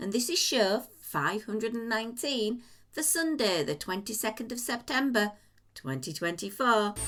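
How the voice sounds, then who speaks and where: In an English accent, a woman with a fairly high pitch speaks at a moderate pace with very wide pitch swings. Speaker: podcast host. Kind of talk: casual chat.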